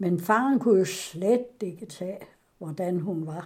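Lively intonation runs through this dark, mellow voice, which goes at a very slow pace. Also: woman. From Denmark, West Jutland (Ringkøbing). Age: 90s. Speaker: interviewee recounting her life. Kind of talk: oral history interview. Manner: halting.

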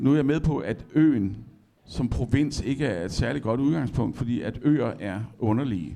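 A man at medium pitch talks at a fairly slow pace with lively intonation. His voice has a dark, mellow tone and vocal fry. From Denmark, Esbjerg. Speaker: poet. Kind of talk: public conversation on stage. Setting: library stage with audience.

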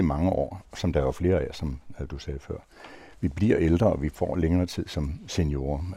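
The man has a dark, mellow tone with vocal fry. He talks at a moderate pace, with ordinary pitch variation. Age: old. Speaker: retired senior, panel guest. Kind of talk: round-table discussion.

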